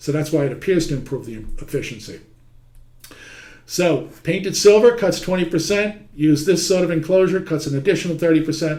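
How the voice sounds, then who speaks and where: Audible room echo surrounds a man with a New York accent who talks at a fairly quick pace in a high voice with ordinary pitch variation. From New York City (Manhattan). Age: 60s. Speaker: heating trade teacher. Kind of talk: lecture. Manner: conversational.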